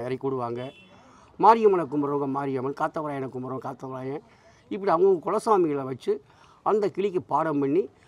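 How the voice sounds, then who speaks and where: A man's unremarkable speaking voice, fairly high-pitched, with ordinary pitch variation and a dry sound with no echo. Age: 50s. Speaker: parrot astrologer. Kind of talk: interview. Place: street. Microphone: lapel.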